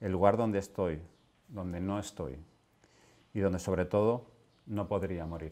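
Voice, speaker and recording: A man speaks with a very deep, low pitch and a dark, mellow tone. His intonation is fairly even, broken by long, frequent pauses. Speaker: poet reading his work. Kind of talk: poetry reading. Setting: literary event with audience. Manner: slow, halting, solemn. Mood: calm, solemn, unhurried. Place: home room. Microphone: lapel.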